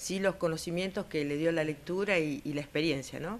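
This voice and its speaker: This woman speaks in a Rioplatense accent. Her pitch variation is ordinary. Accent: Argentine Rioplatense Spanish. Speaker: weather observer. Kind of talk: interview.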